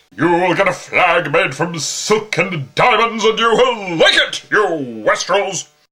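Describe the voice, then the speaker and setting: Using a put-on character voice, a man speaks high for a man, raised and projected, at a fairly slow pace. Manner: indignant, shouting.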